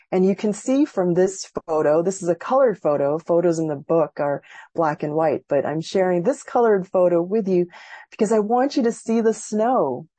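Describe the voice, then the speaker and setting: A woman with an American accent speaks at a moderate pace in a plain, everyday voice. Her pitch is medium and her intonation lively. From Massachusetts, US. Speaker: professor and author. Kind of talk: lecture. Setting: video call.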